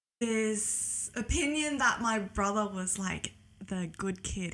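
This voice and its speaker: The tone is bright and sharp, with an Australian accent. The pace is very slow. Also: woman. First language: Cantonese. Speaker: podcast guest. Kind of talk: casual interview chat.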